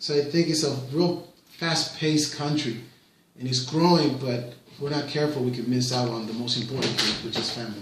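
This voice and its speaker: In a Spanish accent, a man with a fairly high voice speaks at a fairly quick pace amid audible room echo and noticeable background noise. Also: ordinary pitch variation. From Puerto Rico. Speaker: parent interviewed by his child. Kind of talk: casual interview. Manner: hesitant, with fillers and repetitions.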